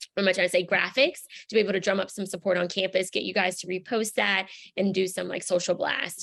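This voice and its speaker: At a very fast pace, a woman talks with vocal fry. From Louisiana, Baton Rouge. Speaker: community organizer. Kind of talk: online training session. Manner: animated.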